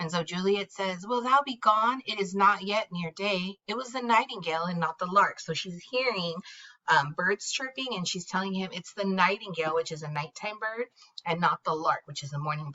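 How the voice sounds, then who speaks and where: Using a normal speaking voice, a woman of medium pitch talks at a moderate pace with lively intonation and big swings in loudness. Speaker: teacher. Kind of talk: classroom read-aloud with explanation. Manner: casual, conversational.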